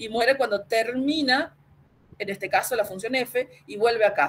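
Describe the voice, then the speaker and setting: A woman talks with ordinary pitch variation. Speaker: university lecturer. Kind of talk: lecture. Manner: fast; halting.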